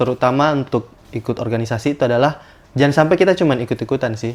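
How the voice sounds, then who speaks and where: This man's delivery is very fast. Pitch moves up and down in an ordinary way. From South Sulawesi, Bone. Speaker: medical student. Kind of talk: podcast interview. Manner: hesitant, many fillers.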